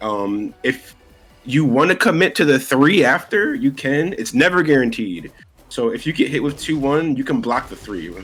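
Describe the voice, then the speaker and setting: A man's fairly high voice with an American accent, very wide pitch swings and a moderate pace, over background music. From New York City. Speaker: fighting game player. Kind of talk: casual interview.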